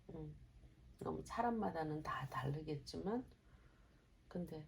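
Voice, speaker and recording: A woman speaks very slowly with lively intonation. Her voice is somewhat breathy. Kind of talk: casual conversation with mother.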